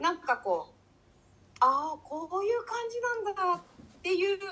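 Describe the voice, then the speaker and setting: A woman projects a raised voice with a bright, sharp tone and very wide pitch swings. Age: 50s. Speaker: cook. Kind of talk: casual interview conversation.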